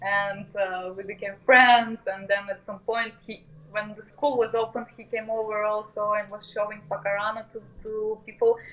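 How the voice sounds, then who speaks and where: A woman with a Russian accent speaks at a moderate pace, her pitch fairly high. Her intonation is monotone and flat, but her loudness swings widely. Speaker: modular musician and educator. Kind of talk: casual interview chat. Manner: halting, many fillers.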